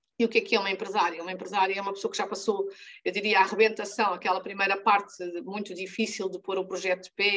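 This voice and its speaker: Speaking very fast with a monotone, flat intonation, a woman with a medium pitch uses a European Portuguese accent. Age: 60s. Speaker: life and business coach. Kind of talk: training talk to women entrepreneurs.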